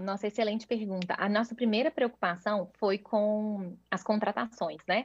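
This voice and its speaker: A woman speaks at a fairly high pitch in a somewhat breathy voice. Her intonation is fairly even, her pace moderate and her loudness very even. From Brazil, Minas Gerais. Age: 30s. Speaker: startup founder and CEO. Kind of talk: interview.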